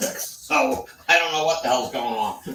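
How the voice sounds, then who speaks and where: Music plays in the background as the words come at a fairly slow pace. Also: man. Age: 70s. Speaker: viewer in live chat. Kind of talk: casual chat.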